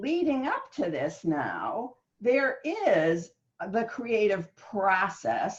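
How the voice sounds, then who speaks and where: This woman's animated tone carries very wide pitch swings. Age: 70s. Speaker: author and writing guest. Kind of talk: interview conversation.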